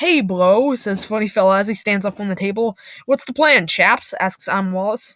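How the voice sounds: What we hear is a natural reading voice.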